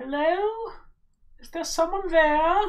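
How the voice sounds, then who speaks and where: An extremely high-pitched, put-on character voice rings out with audible echo. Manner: calling out, uncertain.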